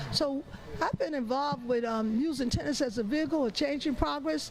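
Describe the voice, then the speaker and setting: Against noticeable background noise, a woman talks at a high pitch with ordinary pitch variation. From Long Island, New York. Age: 70s. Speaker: tennis program founder. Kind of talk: interview. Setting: tennis event booth. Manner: halting.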